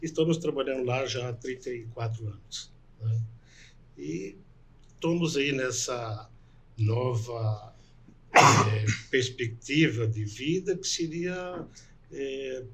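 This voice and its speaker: The speech moves at a very slow pace, broken by long, frequent pauses. Pitch variation is ordinary. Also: man, medium pitch for a man. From northwest Paraná, Brazil. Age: 60s. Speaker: doctor and political candidate. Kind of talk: interview.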